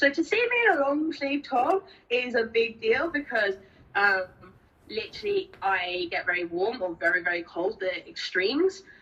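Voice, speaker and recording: A woman with an English accent speaks high in her range, her pitch swinging very widely. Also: moderate pace. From Spain. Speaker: interviewee with rare genetic disorder. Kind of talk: interview. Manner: halting, many fillers.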